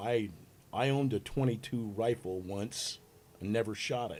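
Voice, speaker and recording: A man with an ordinary speaking voice at fairly low pitch and a moderate pace. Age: 60s. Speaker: podcast guest. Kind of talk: casual discussion.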